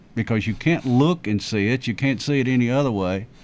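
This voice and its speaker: A man with a Tennessee accent speaks at a very fast pace. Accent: Middle Tennessee Southern. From Rutherford County, Tennessee. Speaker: county commissioner and historian. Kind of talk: radio interview. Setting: radio studio.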